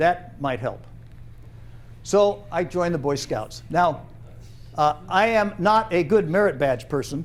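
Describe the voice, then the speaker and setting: In an American accent, a man speaks at a fairly slow pace with long, frequent pauses, and audible room echo surrounds him. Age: 70s. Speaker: storyteller, retired trainer. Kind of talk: personal storytelling performance. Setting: theater stage with audience. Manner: animated.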